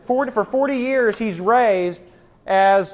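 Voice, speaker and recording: A man at a very slow pace with lively intonation. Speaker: pastor. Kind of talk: Bible teaching. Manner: casual, joking.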